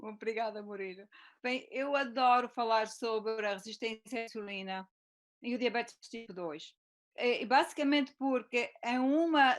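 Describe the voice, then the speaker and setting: A woman speaks at a high pitch with a European Portuguese accent. Her pace is fairly slow, and the recording is very clean with a silent background. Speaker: physician and teacher. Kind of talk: presentation in live interview. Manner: deliberately slowed.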